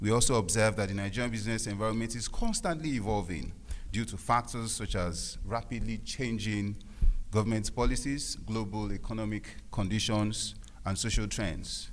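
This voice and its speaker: Audible room echo surrounds a man with a fairly low pitch and vocal fry. He keeps a moderate pace with fairly even intonation. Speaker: lawyer. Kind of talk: conference speech. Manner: halting; nervous, shaky voice.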